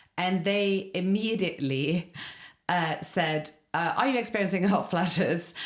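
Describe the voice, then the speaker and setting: Spoken at a fairly slow pace in an Irish accent, the voice keeps very even loudness and ordinary pitch variation. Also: woman, medium pitch for a woman. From Norway. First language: Norwegian. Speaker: podcast host. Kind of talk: interview. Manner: casual.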